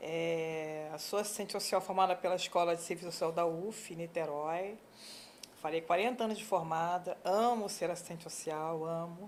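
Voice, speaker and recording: A woman talks at a moderate pace and fairly low pitch with monotone, flat intonation. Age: 60s. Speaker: social worker and church deaconess. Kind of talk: interview.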